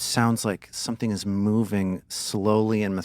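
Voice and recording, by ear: Natural-voiced reading aloud.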